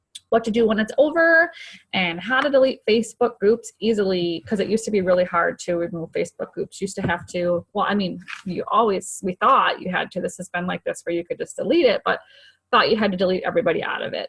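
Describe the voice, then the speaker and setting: A woman with a fairly high voice speaks at a very fast pace with lively intonation. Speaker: fitness coach team leader. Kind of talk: screen-share tutorial. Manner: casual, filler-heavy.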